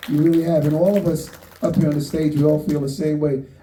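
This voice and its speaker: Noticeable background noise and audible room echo accompany a man speaking in a fairly high pitch. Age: 60s. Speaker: actor. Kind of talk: panel talk at a screening. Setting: stage with audience.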